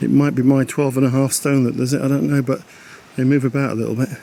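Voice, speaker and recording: A man with an English accent talks at a very fast pace and a medium pitch. His intonation is monotone and flat, and there is noticeable background noise. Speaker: caravanning vlogger. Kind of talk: vlog walkthrough. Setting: outdoors at a campsite.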